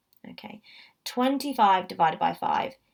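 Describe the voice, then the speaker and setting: Very wide pitch swings across a woman's fairly high voice. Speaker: maths teacher. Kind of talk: tutorial. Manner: animated.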